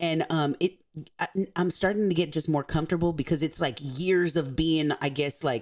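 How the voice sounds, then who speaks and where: A woman talks in a fairly low, animated voice at a moderate pace. The recording is very clean, with a silent background. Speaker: YouTube commentator. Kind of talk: casual chat.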